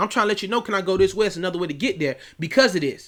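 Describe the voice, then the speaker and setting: A man talks very fast in a raised, projected voice with a bright, sharp, animated tone. The recording is very clean, with a silent background. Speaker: youth coach and online academy founder. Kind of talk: casual vlog talk.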